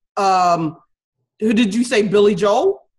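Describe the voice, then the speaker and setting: A woman with a fairly high pitch talks with lively intonation and a somewhat breathy quality. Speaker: podcast host. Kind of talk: interview.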